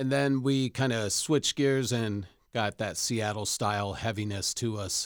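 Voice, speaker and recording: An ordinary speaking voice with an American accent talks at a fairly slow pace and with fairly even intonation, recorded very cleanly with a dry, close sound, no echo and a silent background. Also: man, medium pitch for a man. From Rockford, Illinois, US Midwest. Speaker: chef and former musician. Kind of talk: casual chat.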